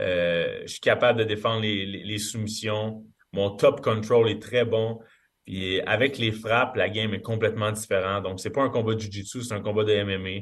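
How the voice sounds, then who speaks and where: A man's fairly low voice at a moderate pace, in a monotone, flat intonation. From Quebec. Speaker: MMA fighter. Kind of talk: interview.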